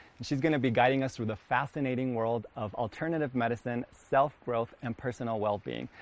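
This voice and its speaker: A man with a warm tone talks at a very fast pace, using ordinary pitch variation. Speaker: local TV presenter. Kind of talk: interview and station promos. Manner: warm, effusive, with frequent ums.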